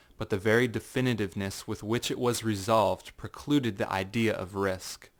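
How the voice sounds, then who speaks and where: This man has an ordinary speaking voice, fairly low in pitch, at a moderate pace with fairly even intonation. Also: very clean recording, silent background. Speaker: narrator. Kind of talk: dramatic audiobook reading.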